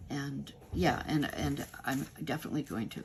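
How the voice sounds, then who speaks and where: A woman is whispering. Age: 70s. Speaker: craft YouTuber. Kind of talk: product review and demonstration. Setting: at home. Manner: halting, many fillers and restarts.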